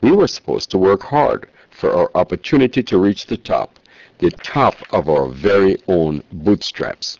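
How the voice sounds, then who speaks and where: A man talks fairly slowly, his voice dry and close with no echo. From Jamaica. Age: 60s. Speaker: political candidate. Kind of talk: campaign speech.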